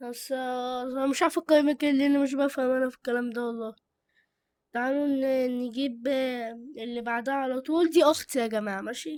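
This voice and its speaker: In a very clean recording with a silent background, a woman speaks with an Egyptian accent. Her voice is high, her intonation fairly even, and her pace moderate. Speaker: YouTuber reviewing channels. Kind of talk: casual chat. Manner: halting; loud.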